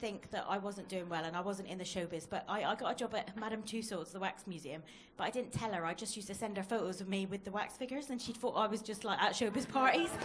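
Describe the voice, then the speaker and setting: Over noticeable background noise and audible room echo, the speech comes very fast with lively intonation. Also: woman. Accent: Plymouth. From Plymouth, Devon, England. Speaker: stand-up comedian. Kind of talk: stand-up. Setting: comedy club stage with audience.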